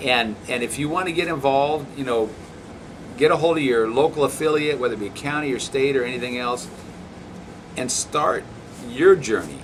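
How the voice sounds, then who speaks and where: Over noticeable background noise, a man with a fairly high pitch and ordinary pitch variation talks at a moderate pace, pausing often and at length. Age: 60s. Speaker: elected county official. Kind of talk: interview.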